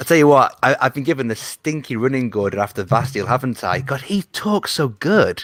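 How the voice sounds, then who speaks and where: With a British accent, a man at medium pitch talks at a fairly quick pace with lively intonation and hardly any pauses, the sound dry and close with no echo. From Britain. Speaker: Eurovision journalist and betting analyst. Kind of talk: casual chat.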